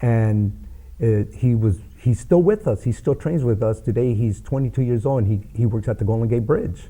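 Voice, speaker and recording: An American-accented man of medium pitch speaks at a moderate pace, his somewhat breathy, dark, mellow voice holding very even loudness and ordinary pitch variation. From Los Angeles. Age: 60s. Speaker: boxing coach and youth mentor. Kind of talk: interview.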